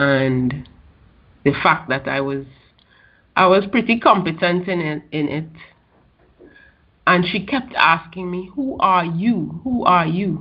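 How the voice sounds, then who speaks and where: A woman speaks at a very slow pace and a fairly low pitch. Long pauses come often. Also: lively intonation. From Trinidad and Tobago. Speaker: entrepreneur and women's business advocate. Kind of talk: interview.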